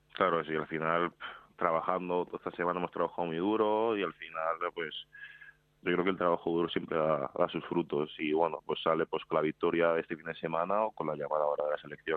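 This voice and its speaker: Speaking with a Madrid accent, a man has a very deep, low pitch. His delivery is fairly quick, with fairly even intonation. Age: 20s. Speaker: professional basketball player. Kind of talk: interview.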